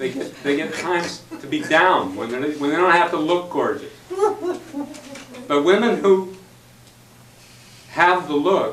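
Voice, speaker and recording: A man with a high voice speaks very slowly with ordinary pitch variation, and the room echo is audible. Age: 60s. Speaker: club member speaker. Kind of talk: impromptu speech.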